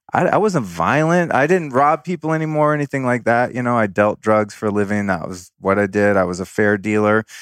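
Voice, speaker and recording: Recorded very clean with a silent background, a man speaks at a fairly quick pace in a dry, close sound with no echo. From Northern California (Sonoma County). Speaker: podcast host and former fashion stylist. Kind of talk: casual interview chat. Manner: casual, profane.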